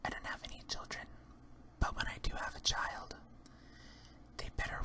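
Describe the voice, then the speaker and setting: Whispering comes through over noticeable background noise. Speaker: drag queen ASMR creator. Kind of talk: ASMR whispered Q&A. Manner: whispered.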